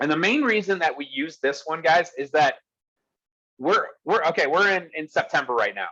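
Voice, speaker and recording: A man talks loudly at a fairly quick pace in a fairly high pitch, his tone animated, bright and sharp. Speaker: real estate business coach. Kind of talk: online workshop presentation.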